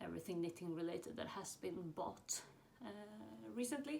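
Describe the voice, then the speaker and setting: A woman with a Swedish accent is heard with audible room echo. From Sweden. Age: 20s. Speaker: knitting podcaster. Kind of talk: casual chat. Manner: hesitant, many fillers.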